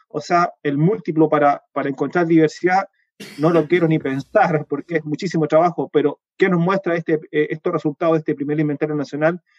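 Dry and close with no echo, a man's fairly high voice runs at a fairly quick pace in a flat monotone. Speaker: entomologist and university researcher. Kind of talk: interview. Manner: fast; hesitant, many fillers.

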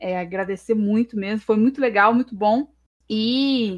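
A woman with an unremarkable speaking voice talks at a moderate pace and medium pitch with fairly even intonation, in a dry, close sound with no echo. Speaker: history student and streamer. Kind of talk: casual chat.

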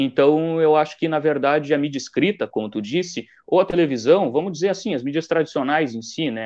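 Against a quiet background, a man with an unremarkable speaking voice and a fairly high pitch talks at a fairly quick pace with hardly any pauses. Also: ordinary pitch variation. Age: 20s. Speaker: journalism student and newspaper intern. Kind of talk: casual interview. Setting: online live stream.

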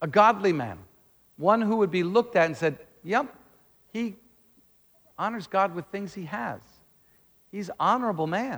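With lively intonation and big swings in loudness, a man with a high pitch speaks at a moderate pace, taking long, frequent pauses. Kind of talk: teaching-style sermon to a congregation, with call-and-response amens. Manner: conversational and plain-spoken, with wry humor and frequent fillers; says he is calmer and more measured than his usual loud, jumping-around preaching.

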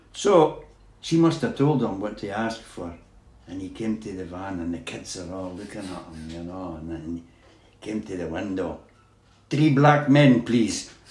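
Somewhat breathy, a man with a fairly low-pitched voice speaks at a moderate pace with lively intonation. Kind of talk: elder life story. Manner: rambling, anecdotal storyteller; chuckling, easygoing, with a Scottish lilt.

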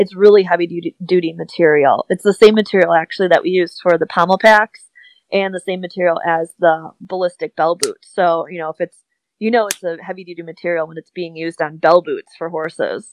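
A woman's fairly low, monotone voice with a Midwestern US accent, fairly quick, with flat intonation and a dry, close sound with no echo. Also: big swings in loudness. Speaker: tack business owner. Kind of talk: casual interview chat.

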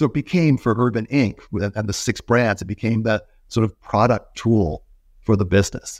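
With an American accent and a normal speaking voice, a man of medium pitch shows ordinary pitch variation in a dry, close sound with no echo, on a very clean recording with a silent background. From US. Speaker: retail and ecommerce expert. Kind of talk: casual interview.

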